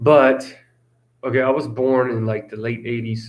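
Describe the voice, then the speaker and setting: His intonation fairly even, a man with a medium pitch speaks at a moderate pace. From Russia, then US from age 10. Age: 30s. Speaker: vlogger. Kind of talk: casual live stream chat. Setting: live stream. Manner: halting, many fillers and repeats.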